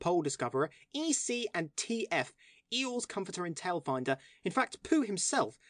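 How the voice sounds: What you hear is a natural reading voice.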